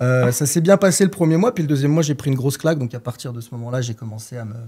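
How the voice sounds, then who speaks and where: At a very fast pace, a man speaks at medium pitch with ordinary pitch variation. His loudness swings widely. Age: 20s. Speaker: trader. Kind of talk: podcast interview. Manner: hesitant, many filler sounds.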